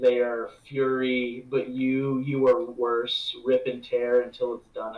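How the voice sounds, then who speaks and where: A man puts on a raspy character voice at a medium pitch. He goes at a fairly slow pace with monotone, flat intonation. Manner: menacing.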